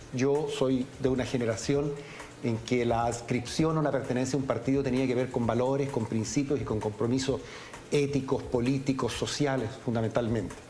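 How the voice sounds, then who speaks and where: A man at a medium pitch speaks in a monotone, flat intonation with very even loudness at a moderate pace, with audible room echo and noticeable background noise. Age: 60s. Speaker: congressman. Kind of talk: TV interview. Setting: TV studio, live broadcast. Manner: hesitant, many fillers.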